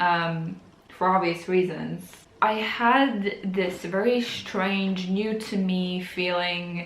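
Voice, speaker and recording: Amid audible room echo, a woman with a non-native accent speaks at a very slow pace, medium in pitch and fairly even in intonation. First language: not English. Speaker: book vlogger. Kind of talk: casual vlog talk.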